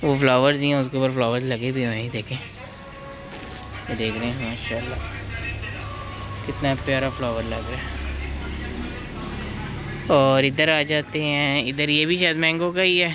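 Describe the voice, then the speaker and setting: Speech comes at a fairly slow pace with long, frequent pauses, a dry sound with no echo, and noticeable background noise. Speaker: vlogger. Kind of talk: casual vlog chat. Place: garden. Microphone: phone near.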